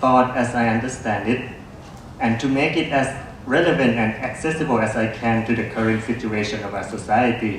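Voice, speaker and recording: Noticeable background noise runs throughout, along with audible room echo. The delivery is at a moderate pace. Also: man. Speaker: philosophy lecturer. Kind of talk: reading a prepared talk. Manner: formal.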